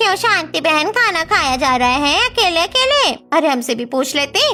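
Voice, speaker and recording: Over music in the background, a woman does a cartoonish character voice at an extremely high pitch, with very wide pitch swings and a moderate pace. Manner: familiar, chatty.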